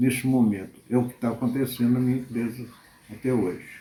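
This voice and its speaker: The man's medium-pitched voice is somewhat breathy, with a dark, mellow tone. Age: 70s. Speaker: accountant. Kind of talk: interview testimony.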